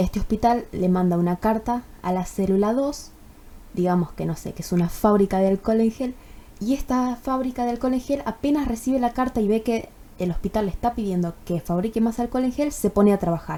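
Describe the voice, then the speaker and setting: Speaking at a fairly quick pace, a woman with a fairly high pitch and a dark, mellow tone uses ordinary pitch variation. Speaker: university student. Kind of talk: tutorial. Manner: casual, with many fillers.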